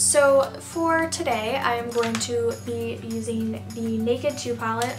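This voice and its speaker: A woman talks at a fairly slow pace while clear music sounds in the background. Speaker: beauty vlogger. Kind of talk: casual makeup tutorial talk to camera. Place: home room. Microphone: phone near.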